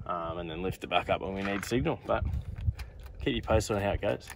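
A man's very deep, low voice at a very fast pace, dry with no echo, amid noticeable background noise. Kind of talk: casual vlog chat. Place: open country.

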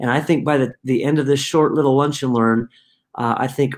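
A man talks with monotone, flat intonation. The background is quiet. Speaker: company founder hosting a talk. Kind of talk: casual webinar introduction. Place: home room.

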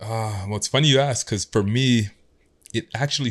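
A man with an ordinary speaking voice talks at a moderate pace in a fairly low pitch, with ordinary pitch variation. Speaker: podcast guest. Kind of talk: interview answer. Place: studio. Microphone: studio mic.

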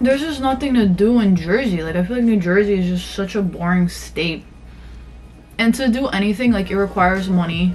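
Fairly quick speech with ordinary pitch variation over light background noise. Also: woman. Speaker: lifestyle vlogger. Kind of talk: casual vlog chat. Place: home room. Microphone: phone near.

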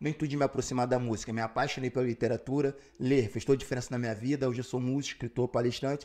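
A man's dark, mellow voice, very fast and flat in a monotone, with hardly any pauses against a quiet background. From Rio de Janeiro, Brazil. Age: 40s. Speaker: rapper and writer; interview guest. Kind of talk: interview. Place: studio. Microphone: studio mic.

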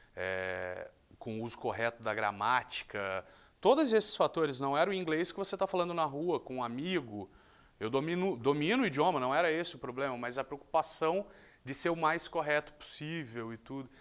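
At a moderate pace, a man talks in a fairly high pitch with very wide pitch swings. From Rio de Janeiro, Brazil. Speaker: sports journalist. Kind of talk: interview monologue. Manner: casual, conversational. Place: studio. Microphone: lapel.

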